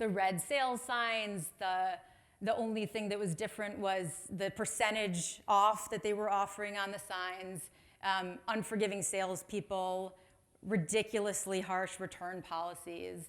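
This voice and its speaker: In a Chicago accent, a woman speaks at medium pitch with fairly even intonation. Her pace is fairly slow. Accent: American, Chicago. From US Midwest, Chicago. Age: 30s. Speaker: marketing executive, conference speaker. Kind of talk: conference talk. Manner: casual, chatty.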